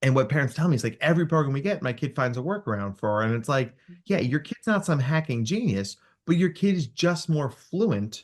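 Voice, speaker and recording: This man's voice is fairly high and somewhat breathy. He moves at a moderate pace with lively intonation. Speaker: clinical psychologist. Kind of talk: podcast interview. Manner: animated.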